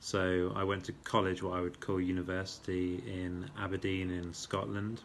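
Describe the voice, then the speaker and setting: A man speaks in a very deep, low voice with an English accent, his intonation flat and monotone. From England, Birmingham (Moseley). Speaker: vlogger introducing himself. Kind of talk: casual self-introduction monologue. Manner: hesitant with fillers.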